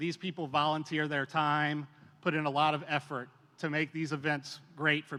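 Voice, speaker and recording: Loud and bright, sharp in tone, a man speaks in a very clean recording against a silent background. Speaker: commercial real estate association board officer. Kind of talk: formal remarks at an event. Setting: stage with audience. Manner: loud, projecting.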